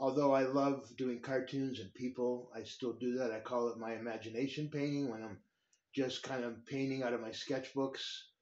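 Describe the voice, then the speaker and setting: The man's intonation is monotone and flat. Audible room echo surrounds his voice. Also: medium pitch for a man, moderate pace. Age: 60s. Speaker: painter and YouTuber. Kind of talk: casual vlog monologue. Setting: garage studio. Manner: hesitant, many fillers.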